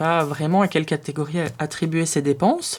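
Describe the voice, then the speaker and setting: A woman talks at a fairly quick pace. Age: 20s. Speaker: personal finance youtuber. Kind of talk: tutorial. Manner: hesitant, many filler sounds.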